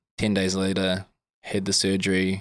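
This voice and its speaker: His pitch is very deep and low, at a moderate pace. The man's voice sounds dry and close, with no echo. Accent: New Zealand. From New Zealand, Wellington. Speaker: professional rugby player. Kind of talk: casual chat.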